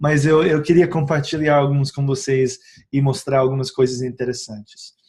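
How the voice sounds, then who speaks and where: This man's voice is somewhat breathy and fairly high in pitch. He keeps a moderate pace with fairly even intonation. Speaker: essential oils educator. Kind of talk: informal video tutorial. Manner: halting, many filler sounds.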